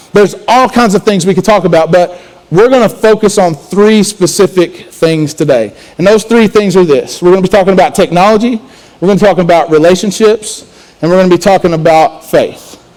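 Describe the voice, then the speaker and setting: A man with a high pitch talks at a fairly quick pace, with ordinary pitch variation. His loudness stays very even over noticeable background noise. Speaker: student pastor. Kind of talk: sermon.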